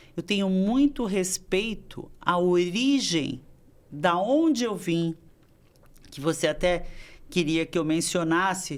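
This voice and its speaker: A woman talks at a very slow pace with a fairly low pitch. Her speech is broken by long, frequent pauses. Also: lively intonation. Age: 60s. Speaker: dance choreographer and teacher. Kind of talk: interview conversation.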